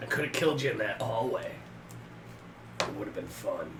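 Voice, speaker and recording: A man puts on a hoarse, raspy character voice at a fairly quick pace. Loud background noise fills the recording. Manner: menacing, taunting.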